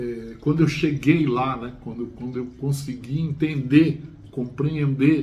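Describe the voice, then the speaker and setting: Speaking very slowly at a fairly high pitch, a man keeps a monotone, flat intonation while his loudness swings widely. Room echo is audible. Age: 60s. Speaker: chemistry teacher. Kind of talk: casual chat. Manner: halting, many fillers and repetitions.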